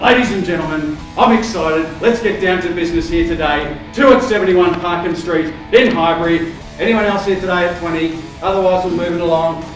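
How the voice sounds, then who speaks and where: There is faint music in the background and audible room echo as a man talks at a fairly quick pace in a high pitch. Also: ordinary pitch variation. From Australia. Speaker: real estate auctioneer. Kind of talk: property auction call. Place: hall.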